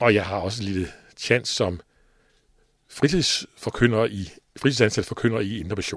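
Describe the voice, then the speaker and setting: Speaking at a moderate pace with long, frequent pauses, a man uses a fairly low pitch and ordinary pitch variation. The recording is very clean, with a silent background. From Denmark, East Jutland. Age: 60s. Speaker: radio station leader and lay preacher. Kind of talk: personal devotional talk. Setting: radio studio.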